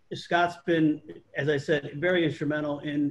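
A man speaks at a moderate pace, somewhat breathy. His intonation is monotone and flat. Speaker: panel host. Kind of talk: panel introduction. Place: home room. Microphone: video call.

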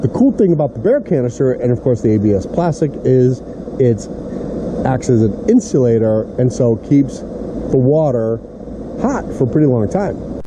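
Over noticeable background noise, a man talks with ordinary pitch variation and very even loudness. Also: moderate pace. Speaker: camping vlogger. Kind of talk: casual vlog chat. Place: forest. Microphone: phone near.

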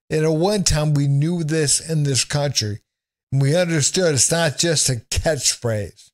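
Fairly slow speech with ordinary pitch variation over a quiet background. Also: man. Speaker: remote guest or commentator. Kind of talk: political commentary. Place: home room. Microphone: studio mic.

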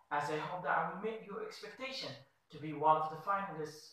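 A man speaks at a fairly high pitch. Strong room echo fills the recording. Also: quiet background. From Morocco. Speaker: student researcher. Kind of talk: application video statement. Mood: formal, earnest. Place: office.

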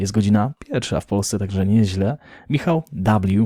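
This man has a fairly low pitch and a dark, mellow tone, talking at a moderate pace. The recording is very clean with a silent background and a dry, close sound with no echo. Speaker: crypto news youtuber. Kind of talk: daily news show with chat reading.

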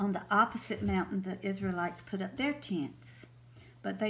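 A natural voice reading text aloud

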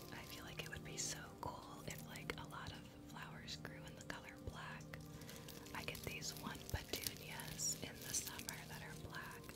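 A woman is whispering. She goes at a fairly slow pace. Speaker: ASMR livestream host. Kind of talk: ASMR livestream. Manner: soft-spoken, whispered. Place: home room. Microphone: studio mic.

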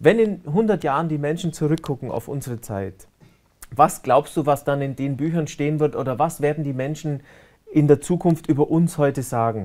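A fairly high-pitched man with a Bavarian accent and ordinary pitch variation, over a quiet background. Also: moderate pace. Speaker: online talk show host; talk show host. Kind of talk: interview. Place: studio.

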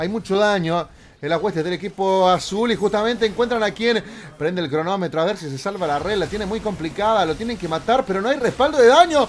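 Over light background noise, a high-pitched man speaks at a fairly quick pace with lively intonation. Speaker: gaming youtuber. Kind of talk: esports commentary over gameplay, casual and hyped. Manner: animated, excitable play-by-play, punchy short exclamations; fast talker, playful slang and humor.

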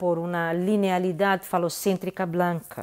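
Against a quiet background, a woman with a Brazilian accent speaks at a fairly slow pace. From Brazil, Minas Gerais (Belo Horizonte); Minas Gerais, Brazil. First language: Portuguese (speaking Spanish). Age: 50s. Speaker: visual artist. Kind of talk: interview monologue. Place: home room. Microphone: earbuds.

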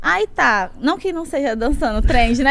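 The voice has an animated tone. Its pitch swings very widely. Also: woman. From Brazil, Natal (Northeast); Northeast Brazil. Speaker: singer and dancer, social media influencer; social media influencer. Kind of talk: podcast interview, casual storytelling. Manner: fast. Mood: lively, animated storytelling. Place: studio. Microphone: studio mic.

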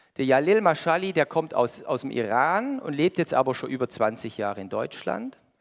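Animated and fairly high-pitched, a man speaks at a fairly slow pace with very wide pitch swings. The background is quiet. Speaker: preacher. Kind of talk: sermon with audience interaction, riddle, Bible reading. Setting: church with congregation. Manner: animated, conversational, lively; warm, pleading at the close. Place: church.

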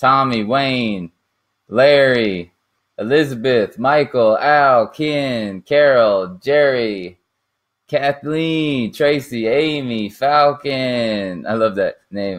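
A very slow pace and ordinary pitch variation against a quiet background. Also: man. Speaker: online marketer hosting a livestream. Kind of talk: casual livestream chat. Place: home room. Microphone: camera far.

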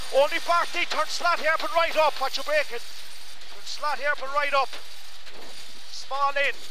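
A man talks in an extremely high voice with flat, monotone intonation. The sound is dry with no echo, and there is noticeable background noise. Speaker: rally co-driver. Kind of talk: rapid-fire rally pacenotes read over in-car intercom at full speed. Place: car. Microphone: headset.

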